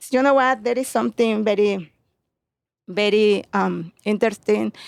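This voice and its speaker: In a Mexican accent, a woman speaks at a medium pitch with fairly even intonation. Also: moderate pace. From Mexico, Puebla. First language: Spanish. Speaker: home gardener, butterfly sanctuary keeper. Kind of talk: interview. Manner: halting.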